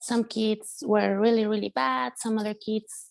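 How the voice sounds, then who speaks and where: Speaking at a fairly slow pace, a woman talks with a Spanish accent. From Mexico, San Luis Potosi. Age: young. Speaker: musician and producer. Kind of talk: interview testimony. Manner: halting with fillers.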